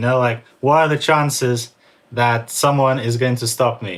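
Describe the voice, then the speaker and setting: Fairly even in intonation, a man speaks at a medium pitch and a fairly quick pace. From born in Russia, raised in US and England. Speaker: writer and former drug dealer. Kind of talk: interview. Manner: casual, filler-heavy.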